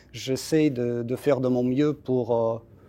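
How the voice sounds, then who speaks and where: This man's intonation is monotone and flat. He talks at a fairly slow pace. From Russia. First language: Russian (speaking French). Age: 40s. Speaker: embassy spokesperson. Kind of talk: interview. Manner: halting, many hesitations.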